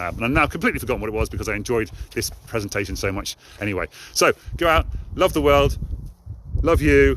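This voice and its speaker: A man with an English accent talks at a very fast pace in a fairly low voice, with very wide pitch swings and long, frequent pauses. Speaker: motivational live streamer. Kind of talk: live stream monologue.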